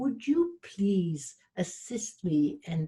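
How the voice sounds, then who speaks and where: The voice is somewhat breathy and dark and mellow in tone, with lively intonation. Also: woman. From Switzerland. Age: 70s. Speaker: relationship coach and motivational speaker. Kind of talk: interview.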